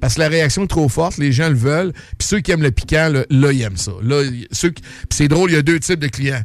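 A man talks fairly quickly with ordinary pitch variation while noticeable noise sounds behind him. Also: fairly high pitch for a man. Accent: Quebec. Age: 50s. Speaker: restaurant owner. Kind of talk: casual chat.

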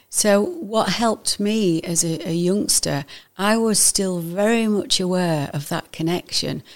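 A woman with an ordinary speaking voice talks at a fairly slow pace, medium in pitch, with ordinary pitch variation. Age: 60s. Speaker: spiritual visionary. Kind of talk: casual interview.

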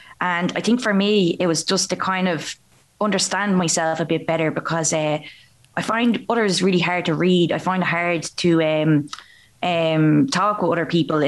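This woman has an unremarkable speaking voice, fairly low in pitch with ordinary pitch variation. She keeps a moderate pace and very even loudness. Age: 20s. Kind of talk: casual interview chat.

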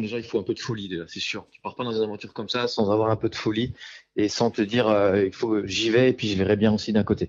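A man speaks very fast in a fairly low voice, his intonation fairly even while his loudness swings widely. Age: 30s. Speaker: amateur ultra runner and sports instructor. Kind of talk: casual interview. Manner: halting.

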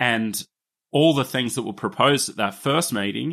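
With an Australian accent, a man delivers lines in a bright, sharp tone with lively intonation. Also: dry, close sound with no echo. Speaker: podcast host. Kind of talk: scripted narration and casual chat.

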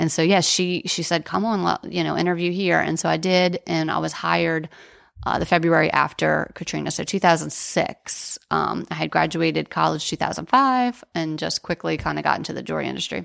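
The speaker has an American accent and a fairly quick pace. The recording is very clean, with a silent background. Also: woman. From New Orleans, US. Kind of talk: casual interview.

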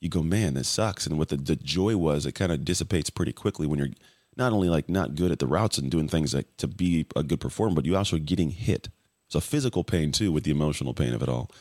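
At a very fast pace, a man with a very deep, low voice and vocal fry speaks with ordinary pitch variation and very even loudness, in a very clean, dry, close recording with a silent background and no echo. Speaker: former athlete, podcast guest. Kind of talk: interview.

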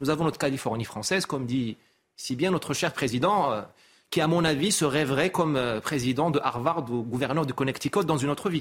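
A normal speaking voice from a man, fairly quick and fairly high-pitched, with ordinary pitch variation. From Morocco. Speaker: essayist and consultant. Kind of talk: TV talk show interview. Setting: TV studio.

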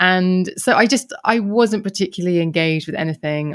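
A woman speaks in a southern English accent. Her pace is moderate and her pitch varies in an ordinary way. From Kent, south-east England. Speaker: podcaster. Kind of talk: interview conversation.

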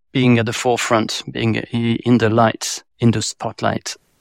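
A man with a French accent is heard in a very clean recording with a silent background and a dry, close sound with no echo. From France. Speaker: advertising agency president. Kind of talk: casual interview chat.

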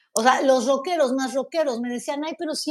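A woman talks with a high pitch, ordinary pitch variation, and a fairly quick pace. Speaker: podcast host. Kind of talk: casual chat.

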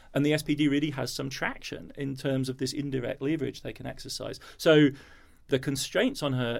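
The voice is spoken at a moderate pace with a flat, monotone intonation. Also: man, fairly high pitch for a man. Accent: English. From Germany. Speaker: historian. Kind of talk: interview. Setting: recorded in London.

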